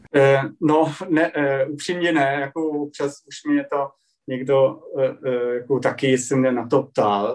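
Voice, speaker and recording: A man speaks with a German accent at a very slow pace. His pitch is fairly high, and his intonation stays fairly even. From Germany, Dresden (Saxony). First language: German (speaking Czech). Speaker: journalist. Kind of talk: interview. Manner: halting.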